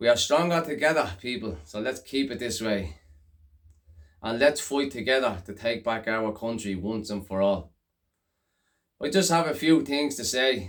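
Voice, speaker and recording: With a Dublin accent, a man speaks at a moderate pace and a medium pitch, his intonation lively. Long, frequent pauses break his speech, and the recording is very clean with a silent background. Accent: north Dublin Irish. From Ireland, Dublin (Coolock/Darndale). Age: 30s. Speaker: local election candidate. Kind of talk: campaign speech to camera. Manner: halting, some stuttering.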